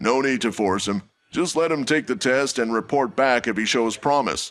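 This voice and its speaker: Over a quiet background, a man puts on a character voice at a medium pitch and moderate pace, with ordinary pitch variation and very even loudness. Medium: audio drama. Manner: calm, commanding.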